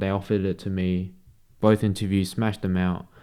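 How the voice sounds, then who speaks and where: At a fairly quick pace, a man with an Australian accent speaks in a fairly low pitch on a very clean recording with a silent background. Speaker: sales closer and vlogger. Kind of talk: casual vlog talk. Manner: casual, slangy.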